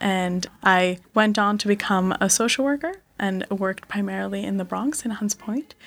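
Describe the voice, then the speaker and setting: On a very clean recording with a silent background, a woman talks at a moderate pace. She has a plain, everyday voice, medium pitch and ordinary pitch variation. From Connecticut, US (born in India). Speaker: venture capitalist. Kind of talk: interview. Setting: studio.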